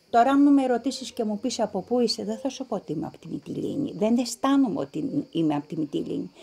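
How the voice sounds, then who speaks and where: A woman's fairly high voice, marked by vocal fry, shows very wide pitch swings and big swings in loudness. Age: 60s. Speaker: descendant of refugees. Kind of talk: interview testimony.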